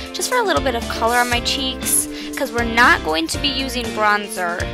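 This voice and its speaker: Clear music plays behind a woman whose voice has a dry sound with no echo. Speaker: beauty vlogger. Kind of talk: tutorial. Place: home room. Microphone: webcam.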